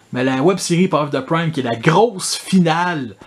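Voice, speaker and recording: A man speaks with a Quebec accent and lively intonation. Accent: Québécois French. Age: 30s. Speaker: toy collector YouTuber. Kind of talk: casual improvised monologue. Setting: in front of his toy collection. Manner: casual, filler-heavy.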